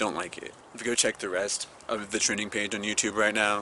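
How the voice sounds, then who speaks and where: A man speaks with a fairly low pitch. Noticeable background noise runs behind him. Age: 20s. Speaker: vlogger. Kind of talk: casual vlog commentary. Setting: outdoors in a park. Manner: halting, many false starts.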